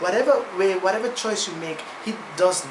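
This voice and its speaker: A non-native accent against noticeable background noise. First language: non-native English speaker. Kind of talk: casual talk to camera.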